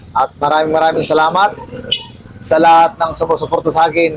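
A man with a fairly high pitch talks at a moderate pace while noticeable background noise carries on. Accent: Ilocano. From Ilocos region, Philippines. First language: Ilocano (speaking Tagalog). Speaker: vlogger. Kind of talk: casual explainer vlog.

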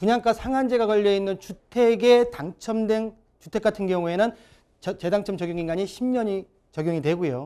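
This man has a high pitch and a dark, mellow tone, speaking at a moderate pace with lively intonation against a quiet background. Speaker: real estate consultant. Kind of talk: expert consultation on TV. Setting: studio. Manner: repetitive, stumbling. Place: studio.

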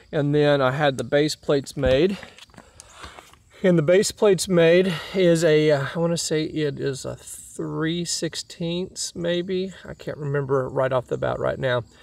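With vocal fry and a slightly mellow tone, a man speaks at a fairly slow pace and fairly high pitch, using ordinary pitch variation.

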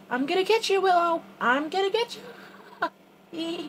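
A squeaky, put-on character voice, fairly slow in pace, with lively intonation. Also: woman, extremely high pitch for a woman. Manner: playful, teasing.

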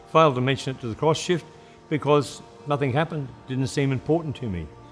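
A man at a fairly quick pace with ordinary pitch variation, faint music in the background. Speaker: retired mine worker. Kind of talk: interview answer. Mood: earnest, reflective. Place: studio.

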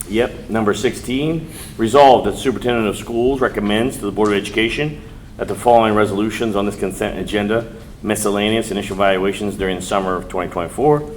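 Noticeable background noise accompanies a man speaking at a very fast pace. His fairly low pitch shows ordinary variation. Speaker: school board president chairing meeting. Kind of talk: formal board meeting proceedings. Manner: mumbling at times.

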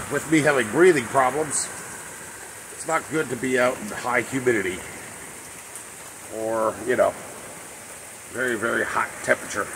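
Over noticeable background noise, the speech runs at a moderate pace with long, frequent pauses, big swings in loudness and ordinary pitch variation. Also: man. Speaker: garage channel host. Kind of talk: casual vlog chat. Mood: resigned, chatty. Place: rain. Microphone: phone near.

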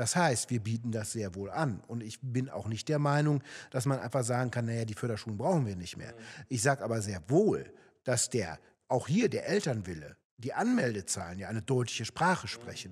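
A man speaks at a moderate pace. His voice is somewhat breathy, with lively intonation. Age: 40s. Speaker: local politician, candidate; election candidate. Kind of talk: political interview. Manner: hesitant, many fillers. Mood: calm, explanatory. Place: studio. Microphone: studio mic.

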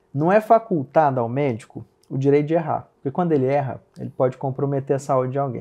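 A man's dark, mellow tone at a fairly high pitch, moving at a fairly quick pace. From Minas Gerais, Brazil (Uberaba, Triângulo Mineiro). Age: 30s. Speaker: plastic surgeon. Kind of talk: interview conversation.

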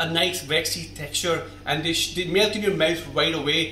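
A man with a high pitch speaks at a fairly quick pace and fairly even intonation, with audible room echo and light background noise. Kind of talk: cooking tutorial talk to camera. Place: kitchen.

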